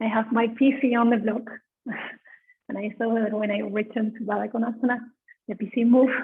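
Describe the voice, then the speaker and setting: A soft-spoken woman with a fairly high pitch and monotone, flat intonation. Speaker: yoga teacher. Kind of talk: guided yoga class instruction. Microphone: too quiet at first, then adjusted.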